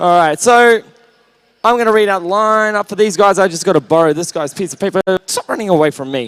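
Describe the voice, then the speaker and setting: With an Australian accent, a man speaks loudly and at a fairly quick pace in a high, animated voice with ordinary pitch variation, recorded with a dry, close sound and no echo. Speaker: roller derby commentator. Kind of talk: live commentary.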